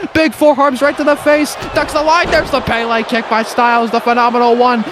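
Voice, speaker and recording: Noticeable background noise runs through the clip. The talking is fairly quick. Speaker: wrestling commentator. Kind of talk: live commentary. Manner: fast; animated.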